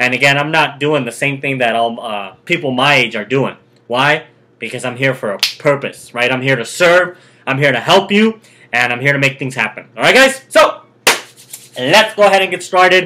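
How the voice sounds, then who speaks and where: This man sounds animated, with lively intonation and a fairly high pitch. He speaks at a moderate pace. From Mexico, raised in California from age 7. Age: 20s. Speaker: online business coach. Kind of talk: motivational talk to camera.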